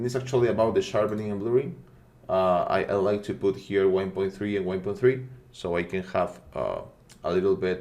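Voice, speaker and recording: A man speaks with a non-native accent at a moderate pace. His pitch sits fairly low, with ordinary variation. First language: not English. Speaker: 3D rendering tutorial creator. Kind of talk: tutorial. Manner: halting, many fillers and repetitions; casual, friendly.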